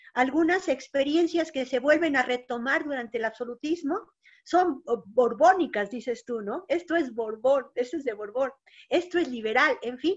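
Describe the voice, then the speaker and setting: The speaker's intonation is lively against a quiet background. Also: woman, high pitch for a woman, moderate pace. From Mexico. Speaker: historian, moderator. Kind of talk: academic panel discussion. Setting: video call. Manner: halting, many fillers. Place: home room. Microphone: video call.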